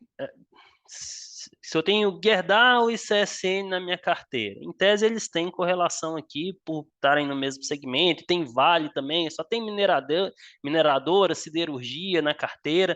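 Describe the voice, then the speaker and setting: Speaking at a fairly slow pace, a man uses a high voice with ordinary pitch variation. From Minas Gerais, Brazil. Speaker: finance exam tutor. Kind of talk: live online class solving exam exercises. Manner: casual, filler-heavy explaining.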